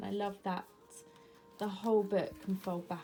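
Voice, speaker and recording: With music playing in the background, a woman speaks at a moderate pace and medium pitch in an English accent. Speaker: planner vlogger. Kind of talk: casual show-and-tell vlog. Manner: chatty, many fillers.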